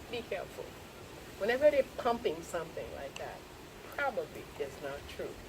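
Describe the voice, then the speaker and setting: Speaking at a fairly quick pace with lively intonation and an animated tone, a woman with a fairly high voice is heard over audible room echo and noticeable background noise. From Haiti. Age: 70s. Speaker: lecturer on Haitian history. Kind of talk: lecture.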